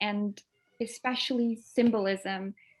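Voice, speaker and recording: At a very slow pace, a woman with a slight non-native accent speaks in a fairly high pitch with monotone, flat intonation. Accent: barely noticeable foreign. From Denmark. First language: Danish. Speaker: author. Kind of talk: interview. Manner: hesitant, many fillers.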